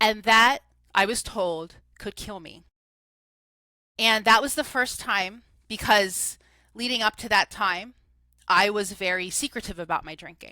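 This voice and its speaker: A woman's animated, bright, sharp voice in a New Jersey accent, medium in pitch with ordinary pitch variation, big swings in loudness, and long, frequent pauses. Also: fairly slow pace. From New Jersey, US. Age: 40s. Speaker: recovery coach. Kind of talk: interview testimony. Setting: podcast studio.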